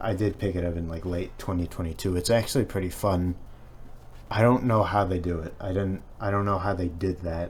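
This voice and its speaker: A man's very deep, low, somewhat breathy voice with an American accent and fairly even intonation. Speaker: gaming video essayist. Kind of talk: video essay narration. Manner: halting, many fillers.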